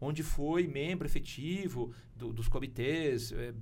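A man's voice with vocal fry and ordinary pitch variation, plus audible room echo. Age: 50s. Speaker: publishing company executive. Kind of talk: interview conversation. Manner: hesitant, repeats words.

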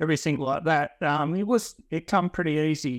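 With a rural Australian accent and a fairly high pitch, a man is heard in a dry, close sound with no echo on a very clean recording with a silent background. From Western Australia, rural wheatbelt. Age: 50s. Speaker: franchise gardener, former farmer. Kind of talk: interview. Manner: halting.

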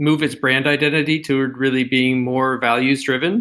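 A man with an American accent speaks at a moderate pace in a normal speaking voice, his fairly high pitch moving with ordinary variation. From United States. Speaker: design manager. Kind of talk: podcast interview.

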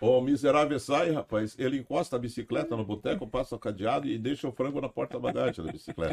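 The voice runs at a very fast pace, with lively intonation and vocal fry. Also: man, medium pitch for a man. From Paranaguá, Paraná, southern Brazil. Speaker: radio broadcaster. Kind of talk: casual chat.

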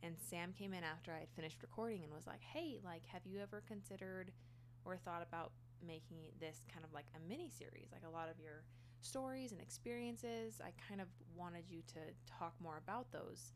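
There is audible room echo as a woman speaks at a fairly quick pace. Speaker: solo podcaster. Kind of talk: personal storytelling monologue. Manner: casual, laughing.

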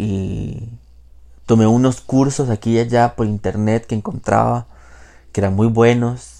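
A man speaks at medium pitch with a dark, mellow tone, fairly slowly and in a monotone, flat intonation, leaving long, frequent pauses. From Costa Rica, Pacific coast (Jacó). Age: 20s. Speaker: podcast host. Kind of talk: personal monologue. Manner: casual with frequent fillers and hesitations.

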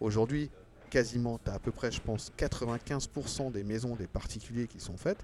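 A man with an unremarkable speaking voice talks at medium pitch and a fairly slow pace, with fairly even intonation and big swings in loudness. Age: young. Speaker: plumber. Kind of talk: casual chat. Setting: trade show.

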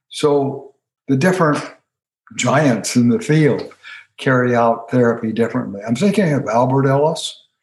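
A man's voice comes through somewhat breathy, with lively intonation. His loudness stays very even. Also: medium pitch for a man, moderate pace. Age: 80s. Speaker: retired counseling professor and author. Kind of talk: interview conversation.

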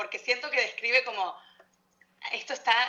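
With a bright, sharp tone, a woman speaks using ordinary pitch variation. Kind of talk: casual chat.

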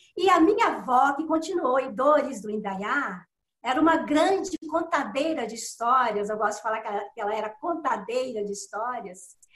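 Her voice carrying an audible room echo, a woman speaks at a moderate pace in a high pitch with very wide pitch swings. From Minas Gerais, Belo Horizonte. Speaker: writer. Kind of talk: interview.

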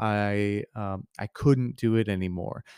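The sound is dry and close, with no echo. A man with an American accent speaks in a fairly low pitch with fairly even intonation. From US Midwest (Missouri). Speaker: podcast host. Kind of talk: solo monologue. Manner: casual, many fillers and restarts.

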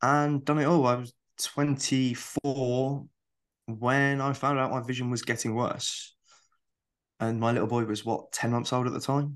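A man with a British accent, flat and monotone, fairly slow, with long, frequent pauses against a quiet background. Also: medium pitch for a man. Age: 30s. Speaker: visually impaired streamer and accessibility consultant. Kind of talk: casual chat.

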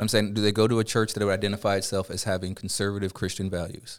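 This is a very clean recording against a silent background. The man's intonation stays monotone and flat. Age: 30s. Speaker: teacher. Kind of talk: casual chat.

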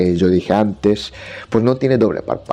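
Music plays in the background. Over it, a man with a fairly low pitch speaks with lively intonation. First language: Japanese (speaking Spanish). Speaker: Japanese language teacher. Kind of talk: solo podcast monologue. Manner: halting.

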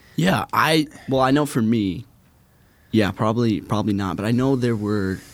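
Here is a man with an American accent and an unremarkable speaking voice at medium pitch. He talks at a moderate pace with ordinary pitch variation, in a very clean recording with a silent background. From Minnesota, US. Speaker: intern. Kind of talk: interview.

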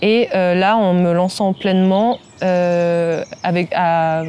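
A woman's fairly low voice comes through noticeable background noise. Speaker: freelance graphic designer. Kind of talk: casual interview.

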